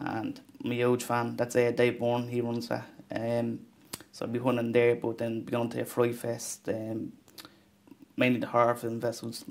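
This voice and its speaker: A man speaks in an Irish accent at a moderate pace, his intonation flat. Long pauses come often. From Ireland. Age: 20s. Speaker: film director. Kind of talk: interview. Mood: thoughtful, modest. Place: studio.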